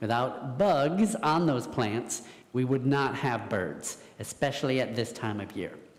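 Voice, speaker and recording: Over noticeable background noise, a man speaks fairly slowly at medium pitch with lively intonation. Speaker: environmental educator. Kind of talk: talk to audience. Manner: loud.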